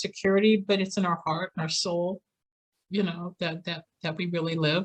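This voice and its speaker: A woman talks at a fairly quick pace and medium pitch, somewhat breathy. Her intonation stays fairly even. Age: 60s. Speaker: psychic healer and near-death experiencer. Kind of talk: interview testimony. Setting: podcast interview.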